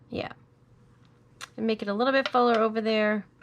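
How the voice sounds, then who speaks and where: This woman speaks at a fairly high pitch. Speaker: crafting tutorial host. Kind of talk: tutorial. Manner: casual, thinking aloud.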